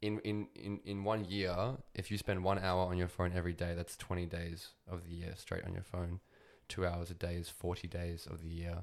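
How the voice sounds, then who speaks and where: On a very clean recording with a silent background, a man in an Australian accent speaks at a moderate pace, his very deep, low pitch monotone and flat. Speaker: podcast host. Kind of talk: casual chat.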